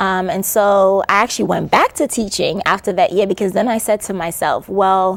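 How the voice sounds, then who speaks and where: A woman with a slight Caribbean accent, medium in pitch, at a moderate pace with hardly any pauses and fairly even intonation. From New York City, born in Antigua. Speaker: educator and author. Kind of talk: interview. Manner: hesitant, many fillers.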